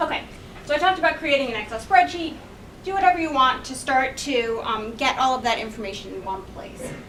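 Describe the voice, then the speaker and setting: Over noticeable background noise and audible room echo, a woman talks at a fairly quick pace in a high voice with lively intonation and big swings in loudness. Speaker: graphic designer and conference speaker. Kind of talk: presentation talk. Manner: fast.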